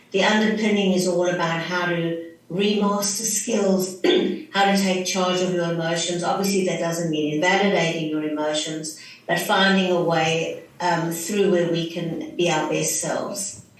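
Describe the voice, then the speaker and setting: With a South African accent, a woman speaks in a fairly low pitch at a moderate pace and fairly even intonation, with audible room echo and noticeable background noise. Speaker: clinical psychologist. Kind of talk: interview.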